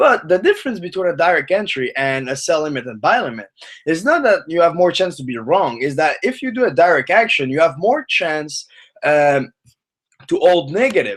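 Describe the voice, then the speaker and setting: A man's high-pitched voice rises and falls in very wide pitch swings. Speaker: forex trading teacher. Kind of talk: live webinar tutorial. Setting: live stream webinar. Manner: fast.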